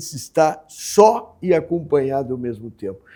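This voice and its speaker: In a very clean recording with a silent background, this man has a dark, mellow tone. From Rio Grande do Sul, Brazil (Pelotas, Alegrete). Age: 80s+. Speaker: writer. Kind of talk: interview.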